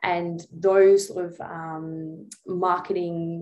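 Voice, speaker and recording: This woman has an Australian accent and a fairly low pitch. Her intonation stays monotone and flat. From Tasmania, Australia. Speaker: dietitian. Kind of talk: casual chat.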